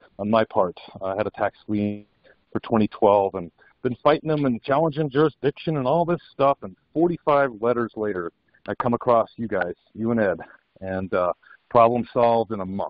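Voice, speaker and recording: A man with an American accent has an unremarkable speaking voice at medium pitch, with lively intonation and a moderate pace. The sound is dry with no echo and the background is quiet. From Colorado. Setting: phone call. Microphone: phone line.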